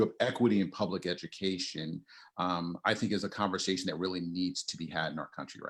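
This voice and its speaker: In an American accent, a man with a very deep, low pitch talks at a fairly quick pace. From US South, New Orleans. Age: 40s. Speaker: education equity speaker. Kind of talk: interview.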